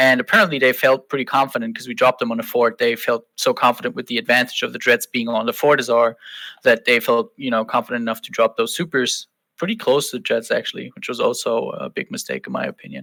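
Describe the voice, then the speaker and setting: A man with a German accent at a very fast pace, dry and close with no echo, in a very clean recording with a silent background. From Germany. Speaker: online game fleet commander. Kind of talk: podcast interview.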